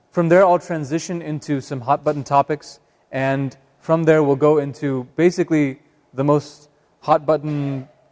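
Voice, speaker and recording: A man with a fairly high pitch and a Northern California accent, in a dry, close sound with no echo. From Northern California, Sacramento. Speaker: imam. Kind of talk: public talk. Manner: hesitant, many fillers.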